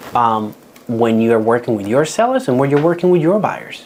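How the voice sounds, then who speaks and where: A man speaks in a Dominican accent with ordinary pitch variation. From Dominican Republic. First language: Spanish. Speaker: real estate agent. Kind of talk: workshop talk.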